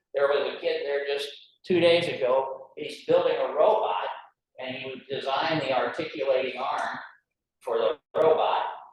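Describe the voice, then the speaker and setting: Audible room echo follows a man talking at a moderate pace with big swings in loudness. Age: 70s. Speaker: library director. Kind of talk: talk at a club meeting. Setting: breakfast meeting with audience. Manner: casual, conversational with fillers.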